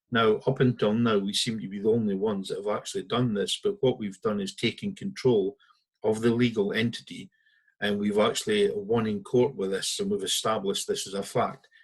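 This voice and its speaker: A man speaks with a northeast Scottish accent. His pace is fairly quick. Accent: Scottish (north-east). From Scotland, Aberdeen. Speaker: founder of a citizens' legal movement. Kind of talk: talk to an online audience.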